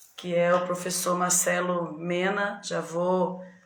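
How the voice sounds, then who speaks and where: A woman speaks very slowly at a fairly low pitch, her intonation monotone and flat, with audible room echo. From São Paulo state, Brazil. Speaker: teacher hosting a reading group live. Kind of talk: live stream chat. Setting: video call live stream. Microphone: echo on the line.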